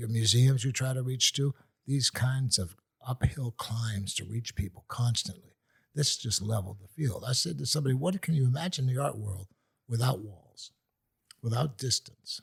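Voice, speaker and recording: A man speaks at a moderate pace, somewhat breathy. His medium-pitched voice shows ordinary pitch variation. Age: 70s. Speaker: artist. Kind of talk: casual chat.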